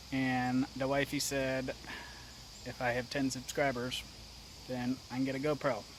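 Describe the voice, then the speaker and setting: A man speaks with an American accent. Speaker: outdoors vlogger. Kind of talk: casual vlog talk to camera. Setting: outdoors, then at home. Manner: mumbling; hesitant, low-energy.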